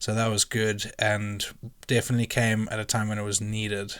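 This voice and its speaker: In a very clean recording with a silent background, a man with a fairly low voice speaks at a moderate pace in a monotone, flat delivery. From Zimbabwe. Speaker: vlogger and wedding photographer. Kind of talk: casual vlog talk to camera. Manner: casual, filler-heavy.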